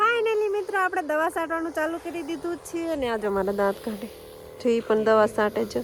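A woman speaks at an extremely high pitch, her voice swinging very widely. Noticeable background noise runs underneath. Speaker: farming vlogger. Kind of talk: casual vlog narration. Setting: outdoors on a farm.

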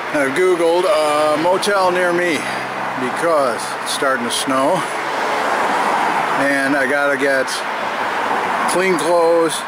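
Very slow speech from a man, broken by long, frequent pauses, dry with no echo, over loud background noise. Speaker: bike traveler vlogger. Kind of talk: casual vlog chat. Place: street. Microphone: phone near.

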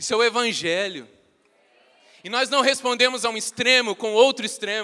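With an extremely high pitch and a bright, sharp tone, a man speaks in a raised, projected, animated voice broken by long, frequent pauses. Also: ordinary pitch variation, moderate pace. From Brazil. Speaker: preacher. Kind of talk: sermon. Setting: church. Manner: earnest, teaching-style, urgent; animated, conversational, joking with the congregation. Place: church. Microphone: handheld.

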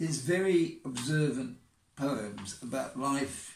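Somewhat breathy, a man's voice carries audible room echo over light background noise. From England. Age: 80s+. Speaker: poet. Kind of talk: casual talk to camera. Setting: outdoors. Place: home room. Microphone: phone near.

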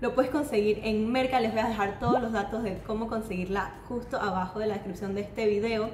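Amid light background noise and audible room echo, a woman speaks at a fairly quick pace with ordinary pitch variation. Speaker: food channel host. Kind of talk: casual food vlog presentation. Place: kitchen. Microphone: camera far.

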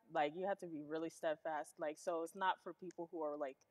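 Against a quiet background, a woman speaks at a fairly low pitch. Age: young. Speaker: host's teenage daughter. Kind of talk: casual interview. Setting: live stream. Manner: casual with many fillers. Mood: relaxed, smiling. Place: studio.

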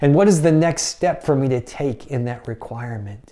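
A man talks at a fairly slow pace with lively intonation and a dark, mellow tone. The recording is very clean, with a silent background.

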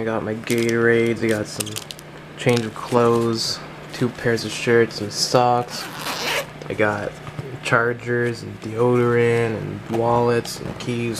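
A man's monotone, flat delivery at a fairly slow pace, with noticeable background noise. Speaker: vlogger. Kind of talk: casual vlog chat. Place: home room. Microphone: phone near.

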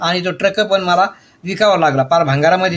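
This man speaks in a high pitch. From Maharashtra, Ahilyanagar district village. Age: 60s. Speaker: wellness coach. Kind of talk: personal testimony vlog.

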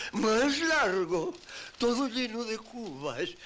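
Over light background noise, a man's voice moves through very wide pitch swings. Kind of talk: acted dialogue, telling a story. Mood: indignant, aggrieved storytelling. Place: home room.

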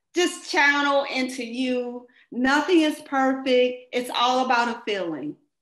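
A woman with an American accent, high-pitched and fairly slow, ordinary pitch variation, audible room echo. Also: quiet background. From US Midwest, St. Louis, Missouri; Missouri. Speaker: dancer; interviewee. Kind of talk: interview. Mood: warm, reflective. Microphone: webcam.

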